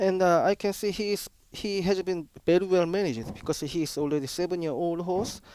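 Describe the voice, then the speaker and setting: A man with a Korean accent talks at a fairly quick pace in a high pitch. His tone is dark and mellow, with ordinary pitch variation. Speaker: horse racing expert. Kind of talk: live horse racing broadcast analysis. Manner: hesitant, non-fluent English.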